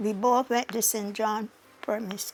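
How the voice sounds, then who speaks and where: A woman with a Barbadian accent talks at a fairly slow pace and fairly high pitch, with fairly even intonation and noticeable background noise. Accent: Barbadian (Bajan). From Barbados. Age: 80s+. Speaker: retired estate worker. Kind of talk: oral history interview answer.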